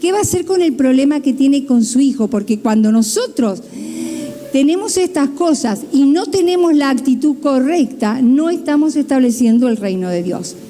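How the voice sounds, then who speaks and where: A woman with a high pitch and lively intonation speaks at a moderate pace, with audible room echo and noticeable background noise. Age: 60s. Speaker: pastor. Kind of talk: sermon.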